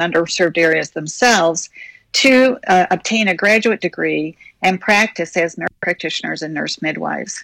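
A woman with an ordinary speaking voice talks at a moderate pace with ordinary pitch variation, in a dry, close sound with no echo. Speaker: university president. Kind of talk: casual interview. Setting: studio.

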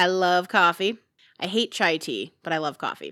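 In a Chicago-area accent, a woman with a bright, sharp tone and medium pitch talks at a moderate pace with ordinary pitch variation, on a very clean recording with a silent background. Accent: Chicago-area Midwestern, noticeable. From northwest Indiana. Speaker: podcast co-host. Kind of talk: casual podcast chat. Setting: home basement recording.

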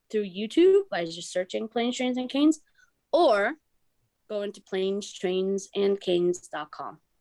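A woman talks at a moderate pace in an unremarkable speaking voice with a medium pitch. The sound is dry and close, with no echo. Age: 30s. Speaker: professor and travel documentary creator. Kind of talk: interview.

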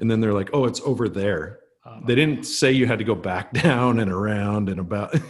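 A man with a normal speaking voice, fairly low pitch and ordinary pitch variation. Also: fairly quick pace. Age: 50s. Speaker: fishing podcast co-host. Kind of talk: casual chat.

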